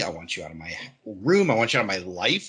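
Talking at a fairly quick pace, a man has a fairly low pitch and a bright, sharp tone. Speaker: podcast co-host. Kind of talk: casual chat.

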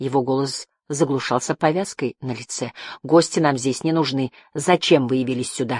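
Plain reading aloud, set against a quiet background

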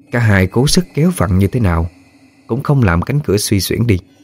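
The reading aloud is done in a natural voice whose intonation stays lively.

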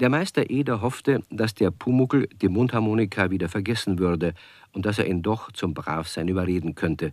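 A man speaks at a low pitch with a slightly mellow tone and few pauses, on a very clean recording with a silent background. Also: ordinary pitch variation, moderate pace.

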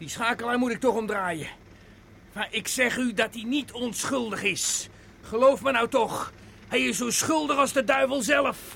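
A man does a put-on character voice at an extremely high pitch, with a bright, sharp tone and vocal fry. He talks at a fairly slow pace with ordinary pitch variation.

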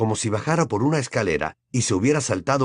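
A natural reading voice sounds over a quiet background.

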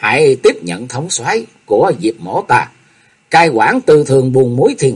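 The reading voice here sounds unforced. Nothing is pushed.

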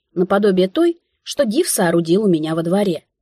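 A natural reading voice with lively intonation. The background is quiet.

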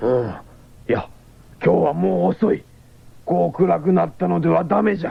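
Using a put-on character voice, the speaker moves at a moderate pace with lively intonation, a slightly husky edge and vocal fry. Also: man, high pitch for a man.

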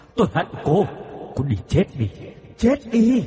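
A man uses a put-on character voice, high-pitched with big pitch swings and a fairly slow pace. His dark, mellow tone carries a husky, rough edge.

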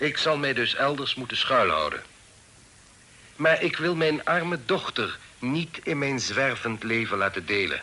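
Putting on a character voice, a man speaks fairly slowly at medium pitch with a bright, sharp tone and big pitch swings.

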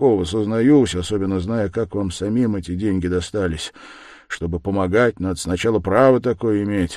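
This is an unforced reading voice. The pitch moves with ordinary variation.

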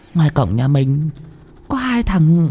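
Slowly and with big pitch swings, the put-on character voice comes out dark and mellow with a slightly husky edge. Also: man, fairly high pitch for a man.

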